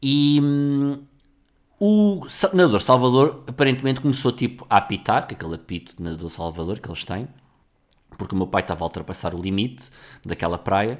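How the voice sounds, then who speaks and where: A man's animated voice at a fairly quick pace, with very wide pitch swings and big swings in loudness. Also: medium pitch for a man. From Portugal, Lisbon area. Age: 40s. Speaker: podcast host. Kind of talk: casual solo monologue.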